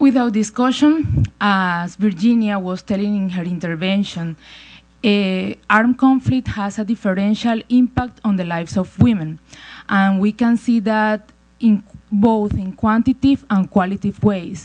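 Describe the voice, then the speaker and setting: The voice is somewhat breathy. It carries a Spanish accent. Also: woman, medium pitch for a woman, ordinary pitch variation, moderate pace. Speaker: women's rights advocate, panelist. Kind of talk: panel talk. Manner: halting non-native English.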